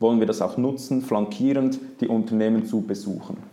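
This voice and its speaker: Noticeable background noise sits behind a man with a Swiss accent. His medium pitch stays fairly even, and his pace is moderate. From Switzerland, Zurich. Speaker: investment product specialist. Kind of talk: interview.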